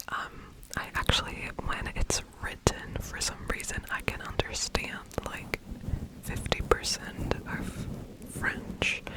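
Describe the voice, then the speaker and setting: Noticeable background noise fills the recording. Under it, a woman whispers at a very slow pace. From Germany. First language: German. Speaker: ASMR creator. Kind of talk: ASMR whispered ramble. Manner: whispering; rambling, hesitant.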